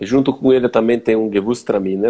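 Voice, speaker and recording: This man's tone is dark and mellow, with a fairly low pitch. He talks at a moderate pace. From southern Brazil, Serra Gaúcha (Flores da Cunha, RS). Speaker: winemaker. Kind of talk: casual interview chat. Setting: Instagram live video call.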